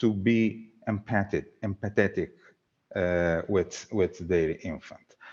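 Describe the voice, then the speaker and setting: Speaking in an Italian accent, this is a man. His pace is very slow. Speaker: researcher. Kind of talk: conference Q&A. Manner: halting.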